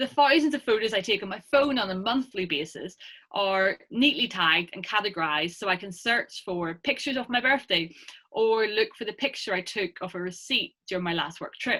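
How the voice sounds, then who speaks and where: Bright, sharp tone with lively intonation, a fairly quick pace, and a quiet background. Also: woman, medium pitch for a woman. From Ireland. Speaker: academic researcher; presenter. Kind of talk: lecture. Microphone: webcam.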